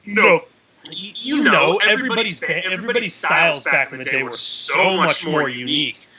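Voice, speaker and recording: With an American accent, a man speaks at a high pitch and moderate pace, his voice making very wide pitch swings over noticeable background noise. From Massachusetts, US. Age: 30s. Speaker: death metal musician. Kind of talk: casual chat.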